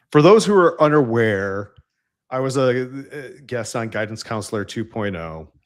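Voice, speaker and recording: The recording is very clean, with a silent background. A man with a slight Central New York accent speaks fairly slowly, his intonation lively. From upstate New York. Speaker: engineering leader. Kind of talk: casual interview chat.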